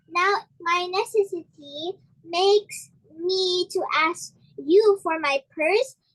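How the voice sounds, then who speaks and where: In a dry, close recording with no echo, a woman puts on a character voice at an extremely high pitch with lively intonation. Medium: stage play.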